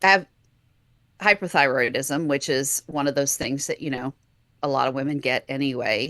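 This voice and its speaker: With a Texan accent, a woman speaks in a very deep, low pitch and a bright, sharp tone at a moderate pace. Long, frequent pauses break up her speech, and the sound is dry and close with no echo. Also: ordinary pitch variation, quiet background. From Texas. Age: 40s. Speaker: podcast host, chronic illness patient. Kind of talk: interview conversation.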